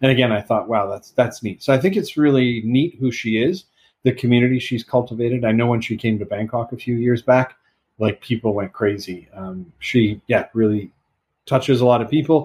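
Using a normal speaking voice, a man talks at a fairly quick pace with medium pitch and ordinary pitch variation. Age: 40s. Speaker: music podcast co-host. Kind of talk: casual chat.

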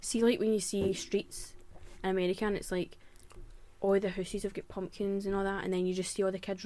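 Delivered at a very fast pace, the speech comes in a Glaswegian accent with a monotone, flat intonation. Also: woman. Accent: Glaswegian Scottish. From Scotland, Glasgow. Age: 20s. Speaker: podcast host. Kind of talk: casual chat.

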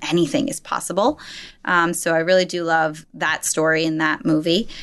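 A woman's plain, everyday voice, fairly low in pitch, at a fairly quick pace. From New Jersey, US. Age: 30s. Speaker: life coach and yoga instructor. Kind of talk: casual interview.

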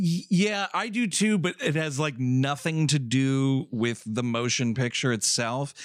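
A man with a normal speaking voice, fairly high in pitch, talking fairly slowly with hardly any pauses, lively intonation and very even loudness, on a very clean recording with a silent background. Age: 30s. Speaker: podcast host and film programmer. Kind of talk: casual chat.

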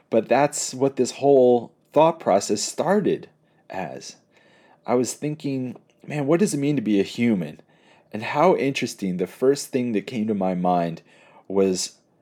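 The voice has a dark, mellow tone and very wide pitch swings, captured on a very clean recording with a silent background. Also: man. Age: 30s. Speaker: pastor and podcast host. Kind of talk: reflective solo monologue. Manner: casual, conversational.

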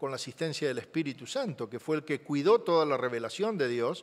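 Lively intonation marks this man's voice at a fairly high pitch. He keeps a moderate pace. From Argentina. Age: 60s. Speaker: guest preacher, journalist. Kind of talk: sermon. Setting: church service, also streamed online.

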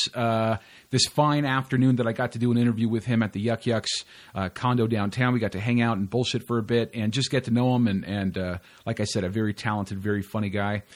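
A man with an unremarkable speaking voice talks at a fairly quick pace, medium in pitch and fairly even in intonation. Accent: American. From California. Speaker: comedy podcast host. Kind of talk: podcast monologue intro; casual interview chat.

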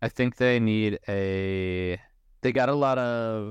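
A man with an ordinary speaking voice talks in a fairly low pitch with fairly even intonation. The sound is dry and close with no echo, over a quiet background. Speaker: skateboarding writer and podcast co-host. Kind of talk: casual chat.

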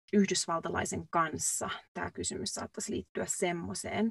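A woman at medium pitch speaks fairly slowly with vocal fry and ordinary pitch variation. The recording is dry and close, with no echo. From Finland. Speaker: podcast co-host, nurse. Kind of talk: casual chat. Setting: recording booth.

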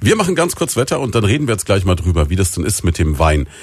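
The man's voice is very deep. His pitch sits very low. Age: 40s. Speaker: radio host. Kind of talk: radio interview.

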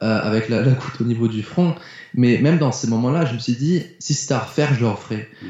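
Somewhat breathy, a man speaks at a fairly quick pace and a medium pitch with ordinary pitch variation. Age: 20s. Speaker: mindset coach and speaker. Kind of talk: casual interview chat.

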